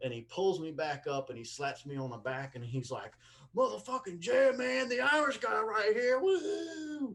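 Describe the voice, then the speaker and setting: A man's high voice, animated, fairly slow, with very wide pitch swings and big shifts in loudness. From Mississippi, US South. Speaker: comedian. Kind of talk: casual chat. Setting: video call.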